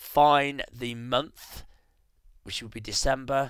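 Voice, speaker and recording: A man with a bright, sharp tone speaks at a very slow pace. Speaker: photographer and tutorial presenter. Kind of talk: tutorial. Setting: screen recording at home. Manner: hesitant, with many fillers.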